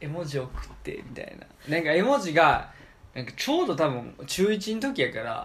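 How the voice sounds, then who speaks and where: In a room with audible echo, a man speaks at a moderate pace in a high voice, with very wide pitch swings and big swings in loudness. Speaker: podcast host. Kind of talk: casual chat.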